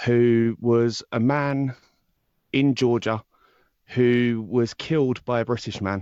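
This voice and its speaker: The man's pitch is medium and his intonation fairly even. He speaks very slowly, with long, frequent pauses. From southern England, High Wycombe. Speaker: true crime podcaster. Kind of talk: interview chat.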